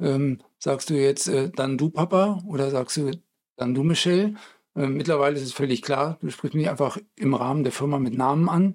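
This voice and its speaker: This man has a plain, everyday voice and a fairly high pitch. He talks at a moderate pace with ordinary pitch variation. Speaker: podcast co-host, game studio colleague. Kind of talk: casual chat.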